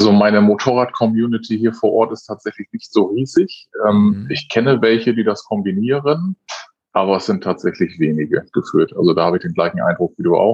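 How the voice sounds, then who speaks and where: A man with a normal speaking voice and medium pitch talks at a fairly quick pace, his intonation lively. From northern Germany, North Sea coast near Wilhelmshaven. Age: 30s. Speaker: motorcyclist and father. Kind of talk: casual chat.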